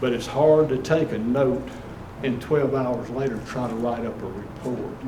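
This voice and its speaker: Audible room echo and noticeable background noise around a man's medium-pitched voice, fairly even in intonation, at a moderate pace. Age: 70s. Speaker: home inspector. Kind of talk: talk at investor club meeting.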